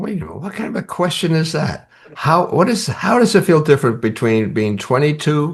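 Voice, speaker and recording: A man with a fairly high pitch and vocal fry talks at a fairly quick pace. His pitch swings very widely and his loudness swings a lot. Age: 80s+. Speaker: storytelling coach and podcast co-host. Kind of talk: casual chat.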